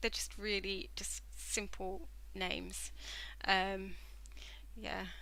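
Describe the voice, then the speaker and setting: A woman with a southern English accent speaks in a space with audible room echo. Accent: southern English, stands out locally. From southern England. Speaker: knitting livestreamer. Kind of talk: casual chat while knitting on a live stream. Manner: hesitant, lots of fillers. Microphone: using headset microphone after tech issues.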